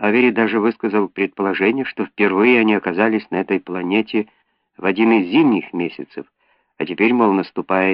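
The background is silent. Someone reads aloud plainly.

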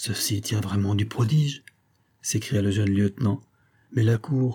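Simply plain reading aloud.

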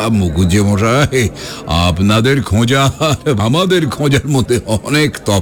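The intonation moves in a lively way. It comes from a natural reading voice.

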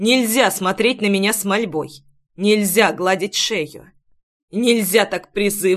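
Plain reading aloud with fairly even intonation and a quiet background

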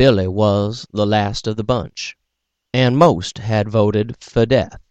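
Plain reading aloud with fairly even intonation plays over a quiet background.

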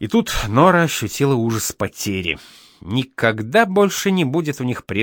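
The voice sounds natural. It is reading aloud.

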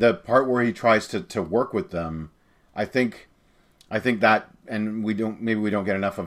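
Against a quiet background, a man speaks at a fairly quick pace with a fairly low pitch. His intonation is fairly even, in a plain, everyday voice. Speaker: podcast co-host. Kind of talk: casual chat.

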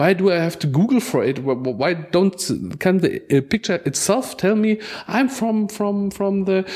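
A man with a German accent speaks with lively intonation. Noticeable background noise runs under his voice. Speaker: digital library organizer. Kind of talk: roundtable discussion. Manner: halting, repeats words.

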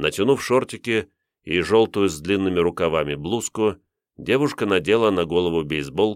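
Plain reading aloud with ordinary pitch variation is heard against a quiet background.

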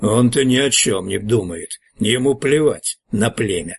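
A man speaks at medium pitch, growling and raspy. The sound is dry and close, with no echo. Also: moderate pace. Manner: angry, growling.

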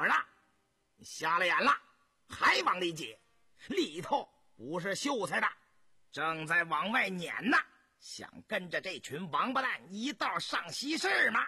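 Putting on a character voice, a man speaks fairly slowly at a high pitch, with a bright, sharp tone, a husky, rough edge and big pitch swings.

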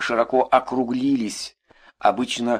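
In a natural voice, someone reads aloud with a quiet background.

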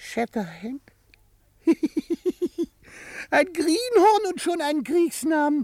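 A man doing a put-on character voice speaks at a very slow pace, his pitch extremely high with big swings and a slightly mellow tone.

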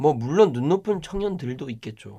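Captured on a very clean recording with a silent background, a man speaks with very wide pitch swings. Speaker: podcast host and young startup founder. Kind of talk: casual chat. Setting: studio. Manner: loud.

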